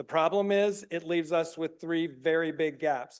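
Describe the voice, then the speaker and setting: A loud, high-pitched man's voice with an American accent, flat monotone intonation, and a quiet background. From US South, South Carolina (Greenville). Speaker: recovery program founder presenting to county committee. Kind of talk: presentation. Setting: public meeting room, live streamed. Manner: fast.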